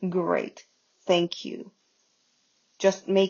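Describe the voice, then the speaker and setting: At medium pitch, a woman speaks fairly slowly. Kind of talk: casual game commentary. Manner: quiet, hushed.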